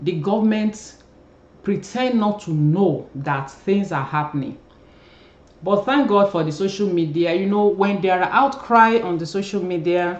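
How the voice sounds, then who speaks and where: The speaker has a Nigerian accent. The pace is fairly slow. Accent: Nigerian (Yoruba) English. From Nigeria, Yoruba. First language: Yoruba. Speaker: YouTube commentator, former journalist. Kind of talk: casual commentary vlog. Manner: hesitant, many fillers.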